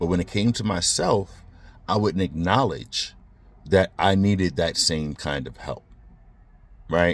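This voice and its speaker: With an American accent, a man speaks at a fairly slow pace in a very deep, low pitch with vocal fry, ordinary pitch variation and long, frequent pauses, on a very clean recording with a silent background. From Brooklyn, New York. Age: 40s. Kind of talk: casual talk to camera. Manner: reflective, hesitant.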